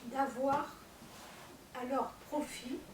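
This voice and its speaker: A woman's high-pitched, monotone voice with flat intonation and audible room echo. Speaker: panel speaker on commercial court. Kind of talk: public talk to audience. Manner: hesitant, many fillers.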